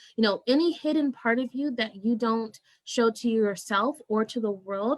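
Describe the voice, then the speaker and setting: A woman's fairly high voice with ordinary pitch variation at a moderate pace, an ordinary speaking voice, dry and close with no echo. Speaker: spiritual coach. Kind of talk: interview. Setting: live video stream.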